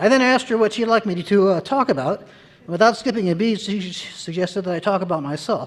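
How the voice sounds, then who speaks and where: Here a man talks very fast with an American accent and hardly any pauses. His pitch is high, with ordinary variation. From Maryland, US. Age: 70s. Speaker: surgeon. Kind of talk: award acceptance speech. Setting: stage with audience. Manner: formal.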